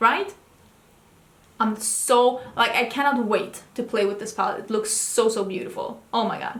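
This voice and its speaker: A woman with a non-native accent speaks at a moderate pace and fairly high pitch. Noticeable background noise runs underneath. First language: not English. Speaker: beauty video creator. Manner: enthusiastic, chatty.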